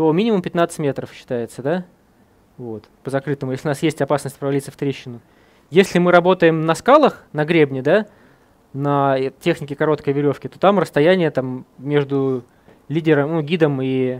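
A man speaks at a moderate pace with ordinary pitch variation and long, frequent pauses. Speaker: mountain guide instructor. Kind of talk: tutorial. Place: shop. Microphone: headset.

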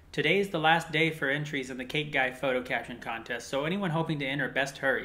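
With an unremarkable speaking voice, a man in an American accent talks at a fairly quick pace, his pitch fairly high with ordinary pitch variation. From New York City. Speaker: YouTube channel host. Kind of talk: scripted update video.

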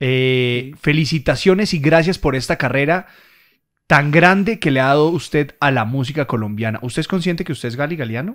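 A man at a fairly quick pace with ordinary pitch variation over a quiet background. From Colombia. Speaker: radio host; radio host interviewer. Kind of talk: casual chat. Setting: studio. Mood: warm, admiring. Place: studio. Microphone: studio mic.

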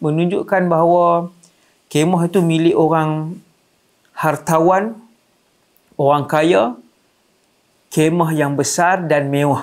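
Against a quiet background, a man with a high-pitched voice speaks at a very slow pace. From Malaysia. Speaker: Islamic preacher. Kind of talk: religious lecture. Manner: animated storytelling. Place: studio. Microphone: lapel.

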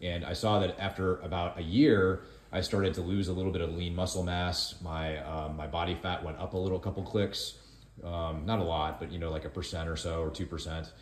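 With audible room echo and light background noise, a man talks at a fairly quick pace, his very deep, low voice held in fairly even intonation. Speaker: co-host filming the video. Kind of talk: casual vlog chat. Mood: calm, explanatory. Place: kitchen.

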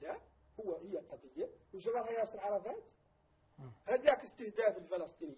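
Speaking at a moderate pace with lively intonation, a man with a high pitch and a dark, mellow tone leaves long, frequent pauses. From Mauritania. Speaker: vice president of an activist movement; guest. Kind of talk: TV interview. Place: studio. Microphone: lapel.

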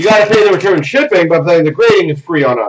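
Noticeable background noise beneath a male speaker. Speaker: card break host. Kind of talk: live stream commentary. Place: shop.

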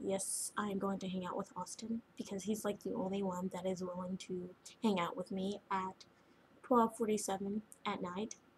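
Somewhat breathy, the voice keeps a moderate pace over light background noise. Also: woman. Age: 20s. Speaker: vlogger. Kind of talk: personal video diary. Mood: upset, venting about relationship. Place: home room. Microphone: webcam.

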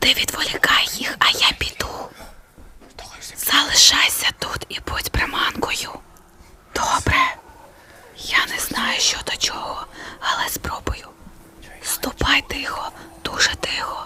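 A put-on character voice, whispering at a fairly slow pace. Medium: fan dub.

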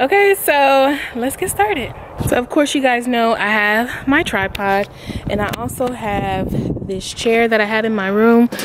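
Noticeable background noise sits behind a woman's voice. She speaks at a fairly slow pace, and the sound is dry with no echo. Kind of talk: casual vlog chat. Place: garden. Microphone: phone near.

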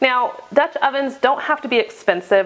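A woman's voice with ordinary pitch variation. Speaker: homestead cooking vlogger. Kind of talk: casual vlog chat. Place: kitchen. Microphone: lapel.

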